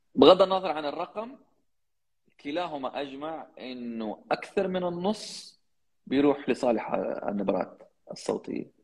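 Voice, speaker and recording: With a Hejazi accent, a man speaks at a fairly slow pace, his pitch swinging very widely between long, frequent pauses. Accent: Hejazi Saudi Arabic. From Saudi Arabia, Jeddah (Hejaz). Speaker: podcast host and public speaking champion. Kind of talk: interview.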